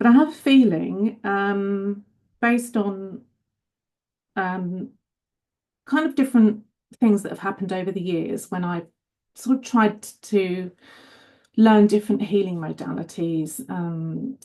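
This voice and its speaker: With a British accent and a dark, mellow tone, a woman talks with ordinary pitch variation and long, frequent pauses. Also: medium pitch for a woman, fairly slow pace. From UK. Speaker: caller. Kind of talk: personal question. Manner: halting.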